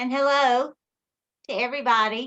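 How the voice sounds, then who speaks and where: A woman speaks in a raised, projected voice with a high pitch and a bright, sharp tone. Her pitch varies an ordinary amount. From Alabama. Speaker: author. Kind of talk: book presentation. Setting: video call.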